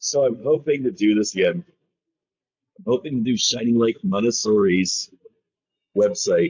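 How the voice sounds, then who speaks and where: A man at a moderate pace with long, frequent pauses and very even loudness. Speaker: SEO reviewer. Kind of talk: screen-recorded website review. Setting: poor tin-can audio. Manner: casual, hesitant.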